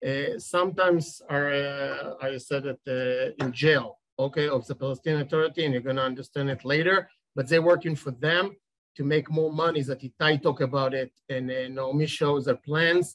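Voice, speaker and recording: A man speaks at a fairly high pitch with an Israeli accent. His intonation stays fairly even. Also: moderate pace. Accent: Israeli Hebrew. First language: Hebrew. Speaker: settlement community leader. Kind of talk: panel presentation. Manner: halting.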